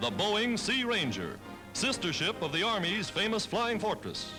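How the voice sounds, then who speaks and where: Over music in the background, a man with an American accent projects a raised, high-pitched voice at a moderate pace. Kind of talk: 1940s newsreel narration. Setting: archival 1940s film recording. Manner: brisk, authoritative.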